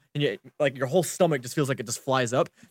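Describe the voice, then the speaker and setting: A man with a plain, everyday voice, ordinary pitch variation, and a dry, close sound with no echo. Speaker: podcast co-host. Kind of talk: casual chat. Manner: playful.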